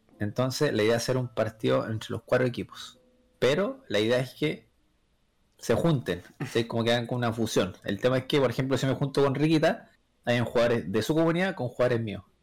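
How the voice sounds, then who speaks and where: A man at medium pitch with a Chilean accent, fairly quick pace and ordinary pitch variation, on a very clean recording against a silent background. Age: 20s. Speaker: podcast guest. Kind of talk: casual chat.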